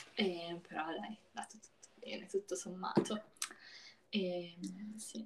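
A woman speaks very slowly at a medium pitch, her voice somewhat breathy. Her pitch varies in an ordinary way, and she leaves long, frequent pauses. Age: young. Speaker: podcast co-host. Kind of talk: casual chat. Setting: call.

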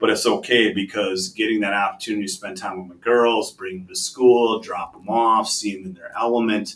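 A man with an Upper Midwest accent speaks at a fairly quick pace with hardly any pauses, medium pitch, fairly even intonation and big swings in loudness. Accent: Upper Midwest American. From Wisconsin, Green Bay. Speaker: logistics executive. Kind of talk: interview. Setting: office.

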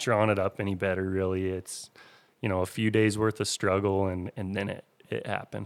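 A man's ordinary speaking voice, fairly low in pitch with fairly even intonation and a moderate pace, on a very clean recording with a silent background. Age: 30s. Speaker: hunter. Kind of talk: storytelling interview.

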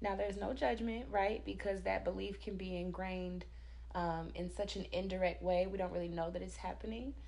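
Fairly quick speech from a woman, with noticeable background noise. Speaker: podcast host. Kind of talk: casual interview chat.

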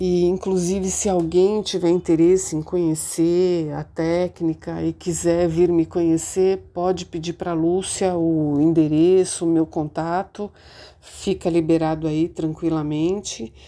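A woman speaks in a fairly low, monotone voice. Her intonation stays flat at a fairly slow pace. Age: 50s. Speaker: Dianetics practitioner. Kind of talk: testimony.

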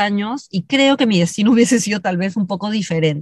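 A woman speaks with lively intonation and a somewhat breathy, fairly high voice against a quiet background. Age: 50s. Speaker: leadership consultant and speaker. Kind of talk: interview.

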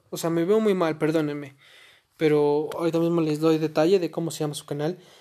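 A man talks at a fairly quick pace in a fairly high voice. His tone is dark and mellow. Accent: Mexican. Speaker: podcaster. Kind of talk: casual monologue. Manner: halting.

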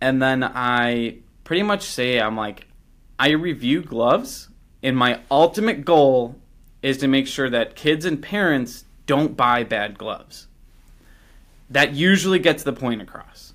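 A man with a Chicago accent talks at a fairly slow pace, his fairly high pitch carrying lively intonation between long, frequent pauses. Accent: Chicago-area American. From Chicago suburbs, US Midwest. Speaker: YouTube glove reviewer. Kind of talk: casual interview. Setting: remote call. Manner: animated.

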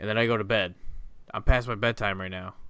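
At a moderate pace and medium pitch, a man with an American accent speaks on a very clean recording with a silent background. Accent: Ohio accent, changing. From Ohio. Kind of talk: casual chat. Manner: halting, many fillers.

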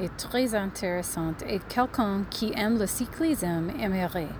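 Noticeable background noise sits behind a woman speaking at a very slow pace. Her medium-pitched voice has lively intonation. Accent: English. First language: English (speaking French). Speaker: podcast listener. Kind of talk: recorded voice message.

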